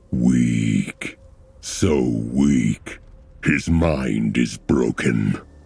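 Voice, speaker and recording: Very slow, very deep and low put-on character voice from a man. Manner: insidious, murmuring, contemptuous.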